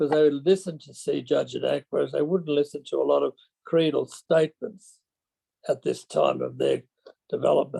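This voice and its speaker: In an Australian accent, the speaker moves at a moderate pace with big swings in loudness, in a dry, close sound with no echo. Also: man. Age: 80s+. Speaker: retired schoolmaster. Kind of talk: webinar discussion.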